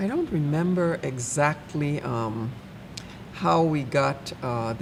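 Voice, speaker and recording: Over noticeable background noise and audible room echo, a woman with a Virgin Islands accent speaks with lively intonation. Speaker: church member. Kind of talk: casual chat.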